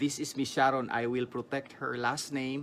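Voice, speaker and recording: A man with a Filipino accent speaks at medium pitch with fairly even intonation. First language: Tagalog. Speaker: vlogger interviewer. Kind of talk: interview.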